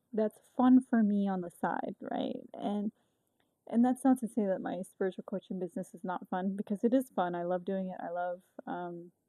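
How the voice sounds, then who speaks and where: A woman's medium-pitched voice with a dark, mellow tone, ordinary pitch variation and a moderate pace, in a dry, close sound with no echo. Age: 30s. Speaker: podcast host and spiritual coach, soldier. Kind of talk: casual monologue podcast. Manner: halting, many fillers.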